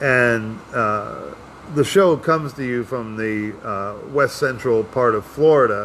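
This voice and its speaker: Speaking at a very slow pace, a man keeps to a medium pitch with ordinary pitch variation. Noticeable background noise runs underneath. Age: 60s. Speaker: podcast host and stand-up comedian. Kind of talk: casual chat. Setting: live show broadcast.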